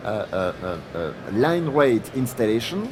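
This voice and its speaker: A man with a French accent, music in the background. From France. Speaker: product line manager presenting. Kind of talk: technical presentation. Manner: halting, many fillers.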